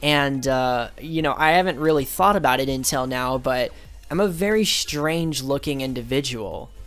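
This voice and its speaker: Over background music, a man with a fairly high voice speaks at a moderate pace with ordinary pitch variation. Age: 20s. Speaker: youtuber, artist. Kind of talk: casual commentary over drawing. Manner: casual, hesitant with fillers.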